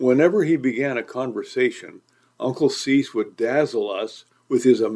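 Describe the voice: Against a quiet background, someone does plain reading aloud.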